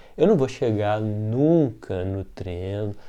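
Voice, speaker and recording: A dark, mellow tone with a Minas Gerais accent. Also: man. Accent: Minas Gerais Brazilian Portuguese. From Brazil, Minas Gerais. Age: 40s. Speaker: art teacher. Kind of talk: casual talk.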